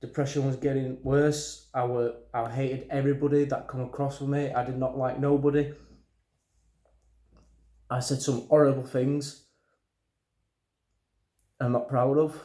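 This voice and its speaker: A man with a strong Yorkshire accent speaks at a fairly high pitch and a moderate pace, in a dark, mellow tone with monotone, flat intonation and long, frequent pauses. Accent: thick Yorkshire. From Yorkshire, England. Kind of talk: personal talk to camera. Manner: nervous, hesitant, stuttering.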